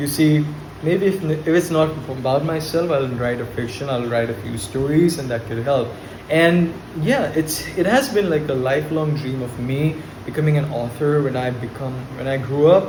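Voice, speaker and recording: Over noticeable background noise and audible room echo, a man with a slight Indian accent speaks at a fairly high pitch and a moderate pace with ordinary pitch variation. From India, Kolkata. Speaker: spoken English teacher, vlogger. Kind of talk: unscripted monologue to camera. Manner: hesitant, with fillers and repetitions.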